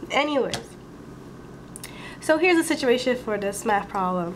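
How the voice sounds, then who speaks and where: Over noticeable background noise, the speech unfolds at a moderate pace. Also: woman. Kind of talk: math tutorial voiceover. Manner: casual, conversational.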